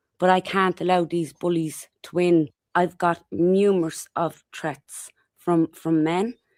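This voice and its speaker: A woman talks in an Irish accent at a fairly low pitch. Her intonation is monotone and flat, and the sound is dry and close with no echo. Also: very clean recording, silent background. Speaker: activist interviewee. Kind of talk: interview.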